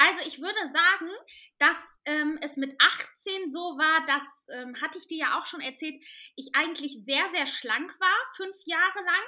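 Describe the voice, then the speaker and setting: A woman's raised, projected voice at an extremely high pitch, fairly slow, with long, frequent pauses. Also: ordinary pitch variation, big swings in loudness. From Cologne, Germany. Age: 20s. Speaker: curvy model and podcaster. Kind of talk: podcast interview.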